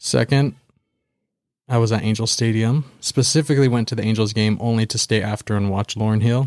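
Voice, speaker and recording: With a Californian accent, a man talks at medium pitch and a fairly quick pace. His intonation is fairly even, and the recording is very clean with a silent background. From Southern California (Baldwin Park). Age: 20s. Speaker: podcast co-host. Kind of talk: casual chat.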